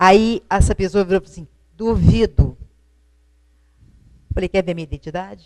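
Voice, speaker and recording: Woman at a medium pitch and moderate pace, with big swings in loudness and long, frequent pauses. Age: 60s. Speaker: retired teacher, widow. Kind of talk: TV interview. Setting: TV studio, live broadcast.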